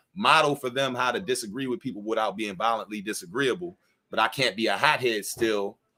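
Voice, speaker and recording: A loud man at medium pitch, bright and sharp in tone, at a fairly quick pace with lively intonation. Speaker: former pro football player and artist. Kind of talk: casual conversation at live book launch. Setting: live event at a bar.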